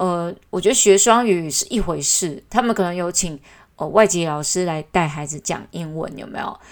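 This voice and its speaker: Big swings in loudness mark this moderately paced voice, which has ordinary pitch variation in a very clean recording with a silent background. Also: woman, fairly low pitch for a woman. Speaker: podcast host. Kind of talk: casual monologue. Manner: hesitant, many fillers.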